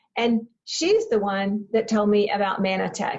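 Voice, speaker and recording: A woman with a Texan accent talks at a fairly high pitch. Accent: Texan American. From Texas, Waco. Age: 70s. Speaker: health product presenter. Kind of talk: product training talk. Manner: hesitant fillers, repeated words.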